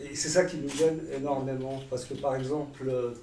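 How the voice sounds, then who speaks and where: Pitched fairly high, a man talks amid audible room echo and noticeable background noise. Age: 60s. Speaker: community worker and writer. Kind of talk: audience question. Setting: stage with audience. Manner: soft-spoken.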